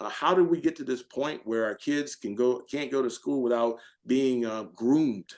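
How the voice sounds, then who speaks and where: An animated man speaks with an American accent at a moderate pace. His pitch is medium, with ordinary pitch variation. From US South. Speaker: retired military officer and author. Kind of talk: podcast interview.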